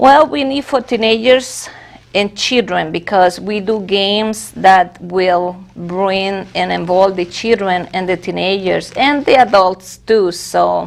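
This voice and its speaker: In a Spanish accent, a woman speaks at a very slow pace. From Venezuela. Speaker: church officer. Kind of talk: interview.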